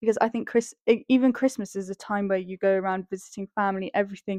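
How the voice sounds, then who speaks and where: A woman with a British accent talks at a fairly quick pace in a fairly high pitch. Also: dry, close sound with no echo. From England. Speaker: podcast co-host. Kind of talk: casual chat.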